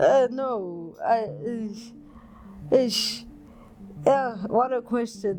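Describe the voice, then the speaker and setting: A woman's fairly high voice with ordinary pitch variation, long, frequent pauses and noticeable background noise. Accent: South African. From South Africa, KwaZulu-Natal (north of Durban). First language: isiZulu. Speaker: body artist. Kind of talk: interview. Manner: halting, frequent repetitions and fillers.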